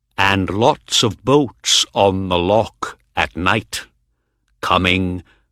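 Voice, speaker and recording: A man uses a put-on character voice at a very slow pace. The recording is very clean, with a silent background. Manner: unfriendly, wary.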